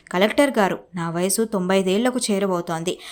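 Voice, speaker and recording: This woman has a plain, everyday voice. Her intonation is lively. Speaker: news narrator. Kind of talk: TV news narration.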